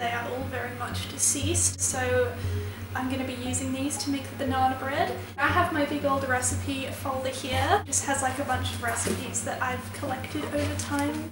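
Amid noticeable background noise and audible room echo, a woman talks at a moderate pace. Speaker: baking vlogger. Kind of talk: casual vlog chat. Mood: cheerful, laughing. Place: kitchen. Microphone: camera far.

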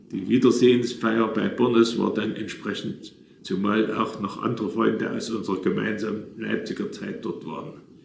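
A man talks at a moderate pace and medium pitch with fairly even intonation. The room echo is audible, with light background noise. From Saxony, Leipzig; Saxony. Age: 80s+. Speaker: retired businessman telling his life story; witness. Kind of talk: reading aloud a written memoir. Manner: halting, with self-corrections. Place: home room. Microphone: phone near.

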